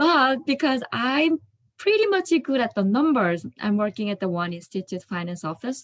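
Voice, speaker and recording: A woman's high pitch with very wide swings, in a non-native accent. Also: moderate pace. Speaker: finance office worker, class participant. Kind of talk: class discussion, personal story. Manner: hesitant, many fillers.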